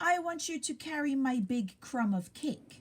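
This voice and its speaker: A woman performs a put-on character voice at a high pitch. She speaks at a moderate pace. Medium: read story.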